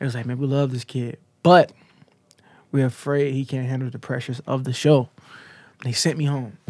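A man's flat, monotone delivery broken by long, frequent pauses. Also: medium pitch for a man, fairly quick pace. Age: 20s. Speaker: singer. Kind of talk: casual chat. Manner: halting.

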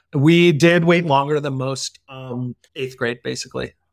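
A man with an ordinary speaking voice, medium pitch and fairly even intonation, on a very clean recording with a silent background. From US Northeast, Connecticut. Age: 40s. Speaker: tech executive and father. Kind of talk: podcast interview.

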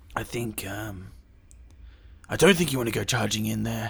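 Putting on a character voice, a man sounds raspy at a fairly low pitch and a moderate pace. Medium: actual play. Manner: guarded, hushed.

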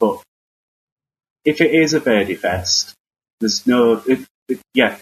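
A man talks at a medium pitch with a Northern English accent. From northern England. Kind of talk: casual chat. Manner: hesitant, halting.

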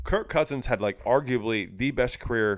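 On a very clean recording with a silent background, a man mumbles. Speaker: podcast co-host. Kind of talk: casual chat. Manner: fast talker, mumbles.

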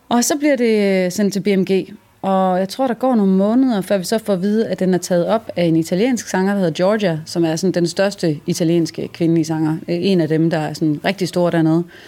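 The dark, mellow voice moves at a moderate pace with hardly any pauses. Loudness stays very even, and pitch varies in an ordinary way. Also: woman, medium pitch for a woman. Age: young. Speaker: singer-songwriter. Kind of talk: stage banter and interview. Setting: music venue.

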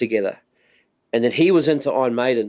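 With a strong New Zealand accent, a man speaks at a medium pitch with ordinary pitch variation. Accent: thick New Zealand. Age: 40s. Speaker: podcast host, drummer. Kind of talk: casual interview chat.

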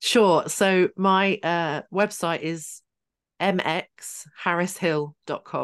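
In a southern English accent, a woman speaks very slowly at a fairly low pitch, the sound dry and close with no echo and the background quiet. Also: fairly even intonation. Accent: English, southern England. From Hertfordshire, England. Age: 30s. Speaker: trauma coach and author. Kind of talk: casual interview chat.

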